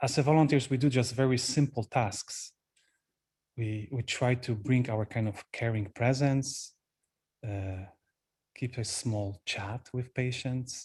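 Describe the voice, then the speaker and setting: Speaking very slowly with long, frequent pauses, a man with a Polish accent sounds somewhat breathy, with fairly even intonation. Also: quiet background. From Poland. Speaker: Buddhist monk, retreat teacher. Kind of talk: dharma talk. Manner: halting.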